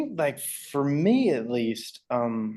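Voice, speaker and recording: With a Southern US accent, a man speaks at a fairly high pitch and with lively intonation. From Alabama. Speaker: rock band frontman. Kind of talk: interview answer.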